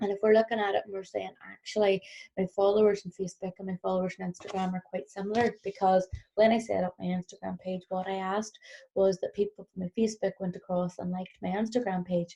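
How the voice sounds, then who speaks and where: A woman talks at a very fast pace in a Northern Irish accent, her medium-pitched voice dark, mellow and somewhat breathy. Her intonation is a flat monotone, and the sound is dry and close with no echo. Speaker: business trainer. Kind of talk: recorded workshop presentation.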